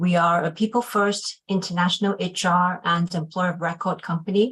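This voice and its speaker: This is a somewhat breathy female voice. Her pitch sits in the medium range. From Hong Kong and UK. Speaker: HR executive and webinar moderator. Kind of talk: panel webinar introduction. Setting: video webinar.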